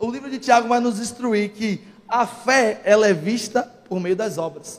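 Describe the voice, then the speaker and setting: A man talks at a fairly slow pace with an extremely high pitch. His pitch varies an ordinary amount. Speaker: preacher. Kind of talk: sermon. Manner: forceful, sounds angry.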